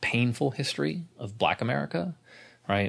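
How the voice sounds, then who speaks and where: A man speaks against a quiet background. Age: 30s. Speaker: podcast co-host and author. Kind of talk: casual chat.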